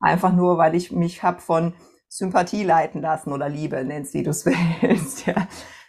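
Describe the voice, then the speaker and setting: Her pitch fairly low, a woman talks at a moderate pace with ordinary pitch variation. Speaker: entrepreneur and mentor. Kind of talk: interview. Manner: hesitant fillers.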